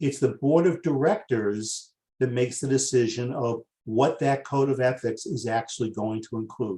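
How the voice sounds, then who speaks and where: In a Boston accent, the speaker has a dark, mellow, somewhat breathy tone, a moderate pace and ordinary pitch variation. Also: man, medium pitch for a man. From US Northeast, Boston. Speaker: master coach, webinar presenter. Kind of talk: webinar training. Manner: excitable.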